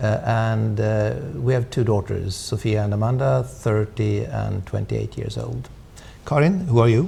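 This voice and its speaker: A somewhat breathy man with a Swedish accent. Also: fairly low pitch for a man, lively intonation, moderate pace. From Sweden. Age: 60s. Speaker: diplomat. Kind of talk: interview. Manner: halting, many fillers.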